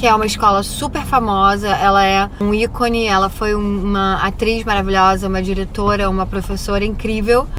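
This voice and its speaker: The voice moves at a moderate pace with fairly even intonation, with audible room echo and noticeable background noise. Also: woman. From Brazil. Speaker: vlogger and acting student. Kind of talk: casual vlog. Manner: casual, hesitant with false starts.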